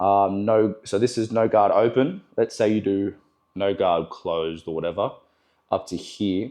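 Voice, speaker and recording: A man with an Australian accent and a dark, mellow tone, fairly slow pace and ordinary pitch variation against a quiet background. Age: 20s. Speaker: barber. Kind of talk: tutorial. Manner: casual, filler-heavy.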